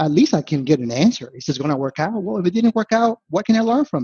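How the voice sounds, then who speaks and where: Lively intonation marks a man who speaks at a fairly quick pace with a Spanish accent. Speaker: investment analyst. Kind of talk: podcast interview. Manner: casual, frequent fillers and restarts.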